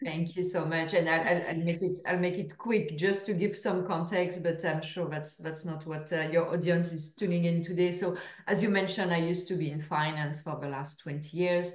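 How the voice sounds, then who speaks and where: In a French accent, a woman speaks at a fairly low pitch and a moderate pace, with fairly even intonation, hardly any pauses and audible room echo. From France. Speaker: author and speaker. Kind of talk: podcast interview.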